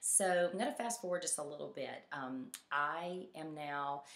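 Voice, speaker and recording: A woman speaks at a very slow pace with a Southern US accent. Her pitch varies in an ordinary way. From Mississippi, US South. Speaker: fitness coach. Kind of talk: personal story presentation. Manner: halting, many fillers.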